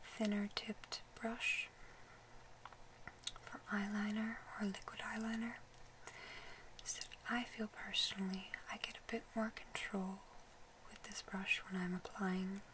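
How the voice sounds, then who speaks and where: Whispering in a calm tone at a very slow pace, the speaker leaves long, frequent pauses over noticeable background noise. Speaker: makeup artist. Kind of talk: ASMR makeup roleplay, soft spoken. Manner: soft-spoken, whispery, calm.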